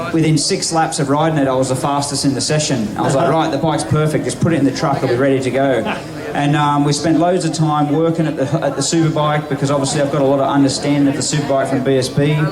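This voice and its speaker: A man talks in a fairly high, monotone, flat voice. Audible room echo and noticeable background noise accompany him. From Australia. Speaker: motorcycle road racer. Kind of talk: live interview on stage. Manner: fast, with frequent fillers and repeats.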